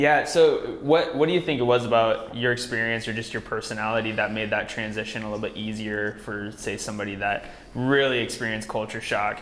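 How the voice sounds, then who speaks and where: Fairly quick speech with an American accent and hardly any pauses, amid noticeable background noise and audible room echo. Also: man, medium pitch for a man, ordinary pitch variation. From United States. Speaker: podcast host. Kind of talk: interview conversation.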